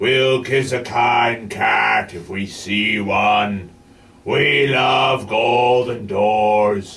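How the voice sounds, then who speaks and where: Using a put-on character voice, a man speaks at a medium pitch and a very slow pace with fairly even intonation. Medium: read story. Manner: earnest, rambling.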